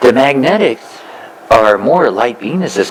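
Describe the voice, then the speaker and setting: Over noticeable background noise, a man of medium pitch speaks at a fairly slow pace with very wide pitch swings. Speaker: spiritual teacher. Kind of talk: spiritual talk to a live audience.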